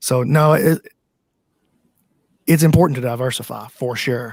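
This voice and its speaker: Fairly even intonation from a man with a Southern US accent. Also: dry, close sound with no echo. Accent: Southern US country drawl. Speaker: jiu-jitsu gym owner and commentator. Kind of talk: casual interview chat.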